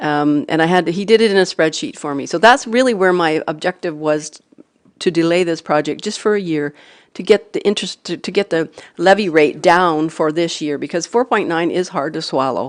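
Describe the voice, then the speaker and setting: A woman speaks at a fairly quick pace with a Canadian accent, her pitch fairly low and its variation ordinary. The background is quiet. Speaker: city councillor. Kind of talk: council meeting debate. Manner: mumbling.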